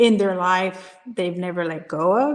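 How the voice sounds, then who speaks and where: A woman talks with a Spanish accent. Her pitch varies in an ordinary way. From Puerto Rico. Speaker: business coach and Air Force veteran. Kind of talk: interview. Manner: halting, many repetitions and restarts.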